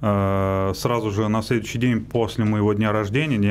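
Against light background noise, a man speaks at a fairly slow pace with a fairly low pitch. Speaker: radio guest. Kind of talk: interview answer. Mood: calm, reflective personal story. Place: studio. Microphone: studio mic.

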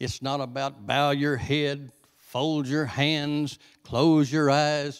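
A man talks at a very slow pace with a Southern US accent. The background is quiet. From US South. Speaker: visiting preacher. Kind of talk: sermon. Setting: church with congregation. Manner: animated; conversational. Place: church. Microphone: handheld.

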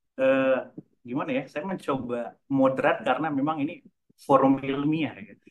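At a moderate pace, a man with a normal speaking voice holds a fairly high pitch and fairly even intonation while his loudness swings widely. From North Sumatra. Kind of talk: conference presentation. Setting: video call. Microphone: video call.

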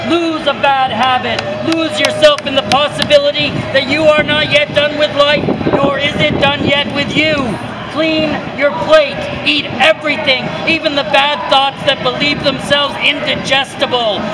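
Loud noise fills the background. A man speaks over it at a moderate pace. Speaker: poet performing in public. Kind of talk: poetry performance, spoken-word poem performed in public. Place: street. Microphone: phone near.

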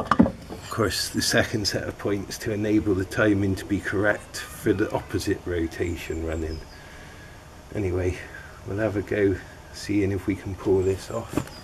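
Noticeable background noise is present. The voice stays monotone, its intonation flat. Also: man, fairly low pitch for a man, moderate pace. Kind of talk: tutorial. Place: garden. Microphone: camera far.

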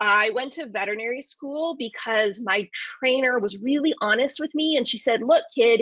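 An animated voice comes through at a moderate pace with ordinary pitch variation, in a dry sound with no echo and a quiet background. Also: woman. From Arizona, US Southwest. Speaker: veterinary ophthalmologist; presenter. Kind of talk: lecture. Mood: warm, enthusiastic, humorous. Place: home room. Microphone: webcam.

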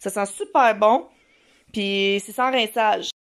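A woman talks with a Quebec accent. Her pitch varies in an ordinary way. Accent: Québécois French. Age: 20s. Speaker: mom vlogger. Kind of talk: casual vlog talk to camera. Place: home room. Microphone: phone near.

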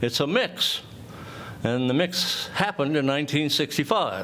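Noticeable background noise sits behind a man speaking at a moderate pace with a fairly high pitch. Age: 70s. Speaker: property owner, public commenter. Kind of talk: public comment at council meeting. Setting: city council chamber. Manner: loud.

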